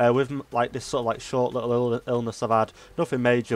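A man at a very fast pace, with music in the background. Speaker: gaming YouTuber. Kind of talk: casual talk to camera.

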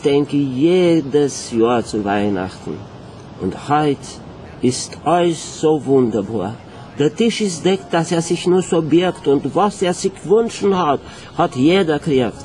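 Light background noise accompanies a man speaking very slowly with a Viennese accent. He leaves long, frequent pauses and swings very widely in pitch. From Romania. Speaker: theatre scenic painter. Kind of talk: poetry reading. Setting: live concert stage. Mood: nostalgic, tender. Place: stage. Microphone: camera far.

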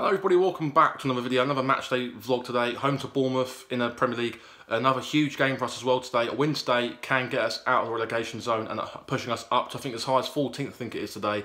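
The intonation is fairly even. A man delivers it all very fast. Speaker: football fan vlogger. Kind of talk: casual vlog chat. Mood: hopeful, slightly anxious. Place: home room. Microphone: phone near.

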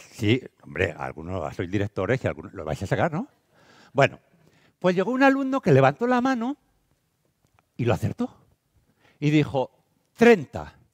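A man with an animated tone at a moderate pace, taking long, frequent pauses against a quiet background. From Spain, Castile and León (Valladolid). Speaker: teacher and educational speaker; teacher, speaker. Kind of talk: conference talk. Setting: stage with audience. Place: hall. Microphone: headset.

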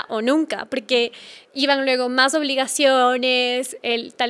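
Here a woman speaks in a high voice. Her intonation is monotone and flat. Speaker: podcast guest, travel blogger. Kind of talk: interview answer. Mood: warm, reflective. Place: studio. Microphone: studio mic.

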